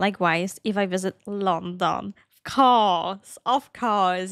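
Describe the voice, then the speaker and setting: A woman's medium-pitched voice with ordinary pitch variation, dry with no echo, over a quiet background. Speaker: cosplayer and anime reaction youtuber. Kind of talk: casual Q&A talk to camera. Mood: relaxed, friendly. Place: home room. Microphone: studio mic.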